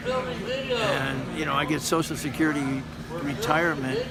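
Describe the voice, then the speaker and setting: Amid audible room echo and noticeable background noise, a man with an American accent speaks at a fairly slow pace in a fairly high voice with lively intonation. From US Pacific Northwest, Seattle. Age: 70s. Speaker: homeless shelter resident. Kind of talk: interview testimony.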